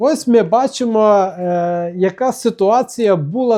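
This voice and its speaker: A man's high pitch with a dark, mellow tone, ordinary pitch variation, a fairly slow pace and a quiet background. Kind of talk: religious commentary with archive document reading. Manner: conversational, with fillers and restarts.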